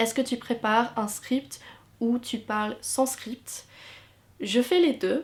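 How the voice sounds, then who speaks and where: A woman speaks at a very slow pace with an English accent. Her pitch is fairly high, with ordinary pitch variation. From England. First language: English (speaking French). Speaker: YouTuber and university student. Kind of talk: Q&A vlog. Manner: hesitant with fillers.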